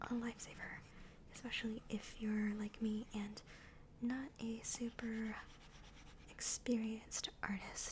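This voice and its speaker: A very slow whisper with long, frequent pauses. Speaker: digital artist and ASMR creator. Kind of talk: soft-spoken ASMR narration of an art process. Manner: soft-spoken.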